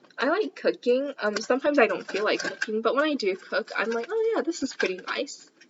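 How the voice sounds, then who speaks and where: A woman with a high voice speaks at a moderate pace, noticeable background noise behind her. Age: 20s. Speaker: student volunteer. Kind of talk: casual cooking vlog chat.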